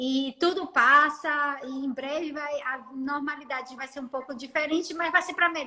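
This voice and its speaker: Using a raised, projected voice with big swings in loudness, a woman with a high pitch speaks at a moderate pace with hardly any pauses and fairly even intonation. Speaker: dentist. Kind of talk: casual chat. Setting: Instagram live video call.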